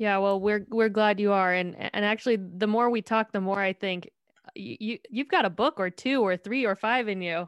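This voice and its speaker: With a normal speaking voice, a woman of medium pitch talks at a moderate pace with ordinary pitch variation, the sound dry and close with no echo against a quiet background. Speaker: podcast host. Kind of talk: interview intro and outro.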